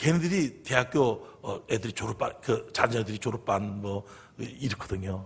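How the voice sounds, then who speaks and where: A man speaks with a somewhat breathy voice and very wide swings in pitch. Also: quiet background. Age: 60s. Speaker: pastor. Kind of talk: sermon. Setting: church. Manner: animated.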